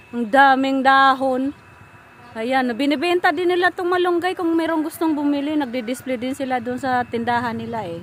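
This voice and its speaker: A woman speaks at a high pitch with lively intonation and a moderate pace. Noticeable background noise can be heard. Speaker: vlogger. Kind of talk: casual vlog talk while touring a garden. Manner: excited, animated.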